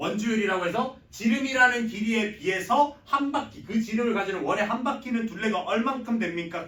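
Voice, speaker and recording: With a Gyeongsang accent, a man speaks at a fairly quick pace and high pitch with ordinary pitch variation. Background noise is noticeable. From Gyeongsang region, Korea. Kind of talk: lecturing.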